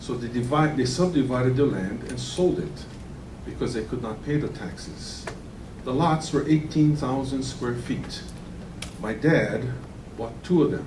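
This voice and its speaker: Through noticeable background noise and audible room echo, a man speaks at a medium pitch. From Hawaii (Kauai). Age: 60s. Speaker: land use commissioner. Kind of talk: public hearing deliberation statement. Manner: formal.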